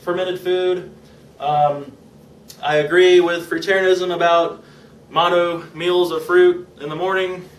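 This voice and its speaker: A man speaks at a fairly slow pace in a high pitch. Noticeable background noise and audible room echo come through. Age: 20s. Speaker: vlogger documenting a raw vegan diet. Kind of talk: personal vlog monologue. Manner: casual, halting with fillers.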